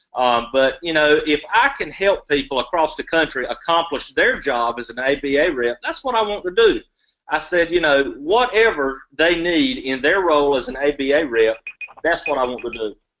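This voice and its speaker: With a Southern US accent, a man uses a bright, sharp tone, lively intonation and a fairly high pitch. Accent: Southern drawl. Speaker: law student, election candidate. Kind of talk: candidate Q&A answers. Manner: long-winded.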